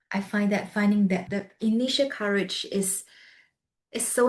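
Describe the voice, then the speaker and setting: A soft-spoken woman talks at a medium pitch. Her voice is somewhat breathy, with fairly even intonation. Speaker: podcast host. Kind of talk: interview conversation. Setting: video call.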